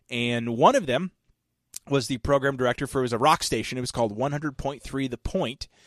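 This man has a medium-pitched, plain, everyday voice and talks at a fairly quick pace. His intonation stays fairly even, and the sound is dry and close with no echo. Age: 30s. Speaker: podcast host and former radio DJ. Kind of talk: casual chat.

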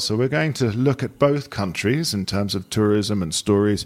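In an ordinary speaking voice, a man with a fairly low pitch talks at a moderate pace with lively intonation. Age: 40s. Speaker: podcast host, journalist and hotelier. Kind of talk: casual interview chat.

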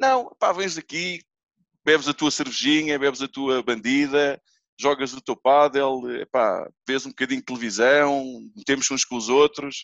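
A man with a normal speaking voice and fairly high pitch talks at a fairly slow pace, his intonation fairly even. The sound is dry and close with no echo, against a quiet background. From Portugal, Almada (Feijó). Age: 40s. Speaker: padel club owner. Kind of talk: casual chat.

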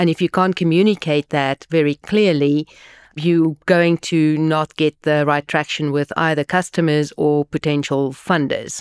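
A woman's very deep, low voice, flat and monotone, fairly slow, with very even loudness and a dry, close sound with no echo. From South Africa. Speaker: tech investor and advisor. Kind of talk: interview.

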